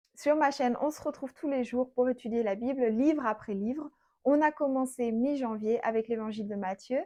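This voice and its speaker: A woman speaks at a high pitch and a moderate pace, with ordinary pitch variation. Her tone is dark and mellow, and the background is quiet. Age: 30s. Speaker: Bible teacher. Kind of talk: Bible study teaching. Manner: conversational.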